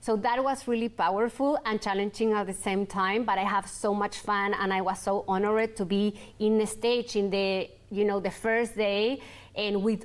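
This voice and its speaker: A woman with a Chilean accent speaks with fairly even intonation. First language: Spanish. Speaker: entrepreneur, clothing brand founder; guest. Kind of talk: interview. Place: studio.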